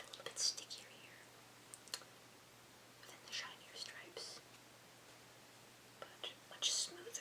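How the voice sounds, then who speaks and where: A woman is whispering at a very slow pace. There is noticeable background noise. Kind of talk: ASMR unboxing and gift wrapping video; casual talk to camera. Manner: soft-spoken.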